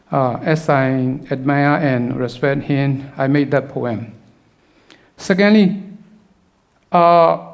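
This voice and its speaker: In a Burmese accent, the speaker talks at a very slow pace with long, frequent pauses and ordinary pitch variation, in a room with audible echo. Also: man, fairly high pitch for a man. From Burma. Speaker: poet and filmmaker. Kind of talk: conference talk. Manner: halting, many fillers.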